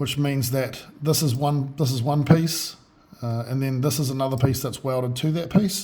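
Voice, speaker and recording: A man talks at a moderate pace, and audible room echo fills the space around his voice. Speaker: boat builder. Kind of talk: tutorial. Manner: halting, many fillers.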